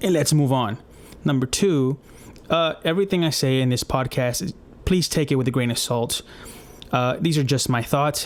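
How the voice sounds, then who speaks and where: Using a non-native accent, a man with a fairly high pitch talks at a moderate pace with ordinary pitch variation and long, frequent pauses. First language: not English. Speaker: podcast host, UX designer. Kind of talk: casual podcast monologue. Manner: casual, with many fillers.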